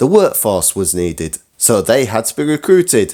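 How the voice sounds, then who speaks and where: A man talks at a moderate pace with very wide pitch swings. Vocal fry runs through his voice. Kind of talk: scripted history talk to camera.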